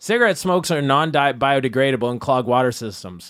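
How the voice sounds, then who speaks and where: A man talks very fast with very wide pitch swings. The recording is very clean, with a silent background. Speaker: debate moderator. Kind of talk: comedic debate moderating. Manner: sarcastic, jokey.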